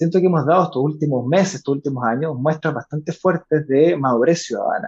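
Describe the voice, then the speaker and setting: An unremarkable speaking voice from a man, fairly high in pitch with ordinary pitch variation, at a fairly quick pace, in a dry, close sound with no echo. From Chile, Valparaíso / Viña del Mar. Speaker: political candidate and NGO director. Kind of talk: interview.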